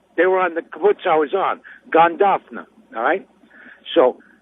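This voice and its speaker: This man speaks with a New York accent. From New York, Brooklyn (Brownsville). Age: 60s. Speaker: caller. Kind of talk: phone-in call. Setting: phone call from a car.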